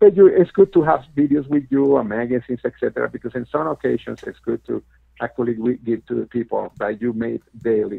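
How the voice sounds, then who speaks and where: A man with a non-native accent speaks at a fairly quick pace. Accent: noticeable foreign. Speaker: network marketing team leader. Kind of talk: webinar presentation. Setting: webinar with phone line. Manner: hesitant, many fillers.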